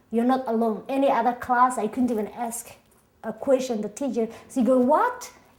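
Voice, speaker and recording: A woman with a high pitch speaks with a strong Somali accent. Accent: thick Somali. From Somalia (Mogadishu). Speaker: immigrant interviewee, singer-songwriter. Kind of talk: oral history interview.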